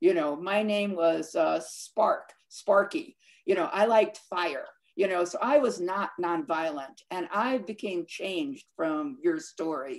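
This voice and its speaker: Over a quiet background, a woman speaks at a fairly slow pace. Her intonation is lively. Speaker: film director. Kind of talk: moderating a live Q&A. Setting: video call. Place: home room. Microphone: webcam.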